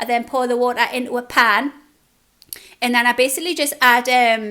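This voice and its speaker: A woman talks in a Geordie accent with a high pitch and a bright, sharp tone. Her voice is raised and projected, moving at a moderate pace. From northern England, Newcastle (Geordie). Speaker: food vlogger. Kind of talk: casual Q&A chat. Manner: chatty, informal.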